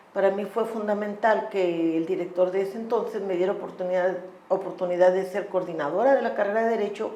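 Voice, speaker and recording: A woman speaks at a medium pitch with ordinary pitch variation. Audible echo fills the room. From Tamaulipas, northeastern Mexico. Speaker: law professor and human rights lawyer. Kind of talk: podcast interview.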